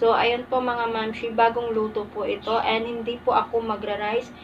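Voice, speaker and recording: Light noise sits in the background. Her delivery moves at a fairly slow pace. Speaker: mukbang vlogger. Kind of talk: casual vlog chat. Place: home room. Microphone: phone near.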